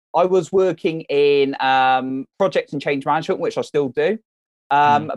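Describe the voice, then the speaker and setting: A man with an ordinary speaking voice, fairly high in pitch, talks at a moderate pace with ordinary pitch variation in a dry, close sound with no echo. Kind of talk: casual interview chat. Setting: phone call.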